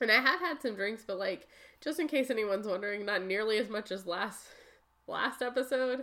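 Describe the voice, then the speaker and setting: A woman speaks in a normal speaking voice at a fairly high pitch. Her pace is fairly quick and her intonation lively. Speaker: podcast co-host. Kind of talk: casual chat, joking. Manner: playful, laughing.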